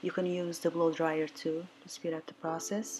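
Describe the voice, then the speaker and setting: A woman with a non-native accent speaks at a fairly low pitch and a fairly slow pace. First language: not English. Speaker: watercolour artist. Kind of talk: painting tutorial voiceover. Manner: casual, hesitant.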